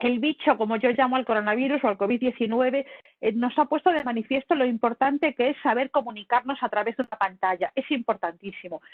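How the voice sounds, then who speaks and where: Music plays in the background. The speech is very fast, with ordinary pitch variation. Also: woman, high pitch for a woman. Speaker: communication lecturer. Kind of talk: lecture. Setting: video call. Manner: animated.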